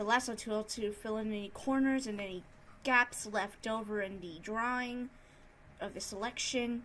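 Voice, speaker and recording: A woman's fairly high voice at a moderate pace, with ordinary pitch variation. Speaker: digital art youtuber. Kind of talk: tutorial. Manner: improvised, hesitant.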